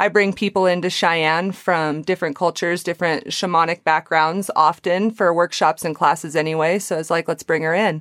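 With hardly any pauses, a woman uses a plain, everyday voice, fairly low-pitched with fairly even intonation at a fairly quick pace, in a dry, close sound with no echo. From Wyoming. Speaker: Reiki and yoga practitioner. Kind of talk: casual interview. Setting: remote call.

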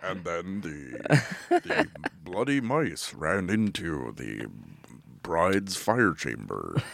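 A man in a put-on character voice, very deep and low in pitch, at a very slow pace. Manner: theatrical, spooky.

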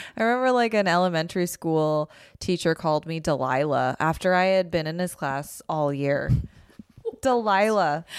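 This is a plain, everyday voice. It speaks at a moderate pace with lively intonation. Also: woman, fairly low pitch for a woman. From Calgary, Canada. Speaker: comedian and writer. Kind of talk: casual chat.

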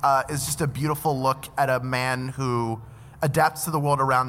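Fairly quick and in an American accent, a man speaks at medium pitch with a bright, sharp tone. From Philadelphia. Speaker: podcaster and voice actor. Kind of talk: live comedy trivia show. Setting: stage with live audience.

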